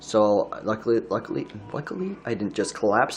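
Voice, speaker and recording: At a moderate pace and medium pitch, a man talks over noticeable background noise. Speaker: vlogger. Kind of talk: casual monologue. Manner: halting, repeats words.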